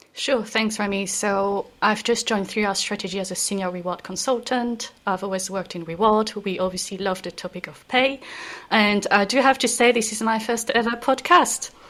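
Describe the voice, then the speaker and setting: With a French accent, a woman talks at a moderate pace in a fairly high voice, her pitch moving in an ordinary way while her loudness swings widely. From France. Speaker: reward consultant. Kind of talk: podcast discussion. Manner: hesitant, many fillers.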